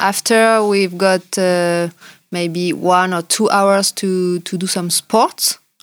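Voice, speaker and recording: A woman speaks with a French accent in flat, monotone intonation, recorded very cleanly against a silent background. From French Alps, France. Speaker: ski patroller and firefighter. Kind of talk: casual interview chat. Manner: halting, hesitant English with fillers.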